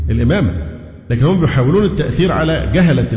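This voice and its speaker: A man's lively, fairly quick speech in an Egyptian accent, with audible room echo and noticeable background noise. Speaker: Islamic preacher. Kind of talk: lecture.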